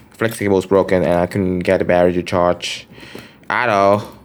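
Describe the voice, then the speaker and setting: The speaker is a man. His pace is moderate. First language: Vietnamese. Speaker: phone collector vlogger. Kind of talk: show-and-tell collection video. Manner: casual, hesitant with fillers.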